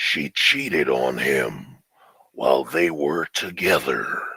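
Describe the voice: In a put-on character voice, a man speaks with a raspy, very deep, low pitch in a dramatic, solemn tone at a fairly slow pace.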